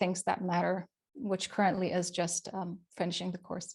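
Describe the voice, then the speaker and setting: A woman with a non-native accent talks at a fairly quick pace. The recording is very clean, with a silent background. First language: not English. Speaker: web developer and accessibility expert. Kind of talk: casual interview chat. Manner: halting, repeats words.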